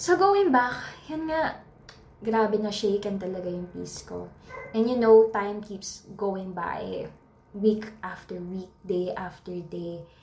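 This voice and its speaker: Speaking at a very slow pace with a Filipino accent, a woman's voice swings a lot in loudness amid noticeable background noise and audible room echo. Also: medium pitch for a woman, ordinary pitch variation. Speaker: podcaster. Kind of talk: casual monologue. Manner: halting.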